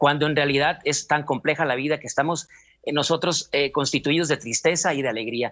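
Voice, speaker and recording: Against a quiet background, a man speaks at a fairly high pitch with fairly even intonation. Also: fairly quick pace. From Mexico, Culiacán, Sinaloa; Sinaloa, Mexico. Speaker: clown and actor; actor. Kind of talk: interview. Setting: video call. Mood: warm, reflective. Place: home room. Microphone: video call.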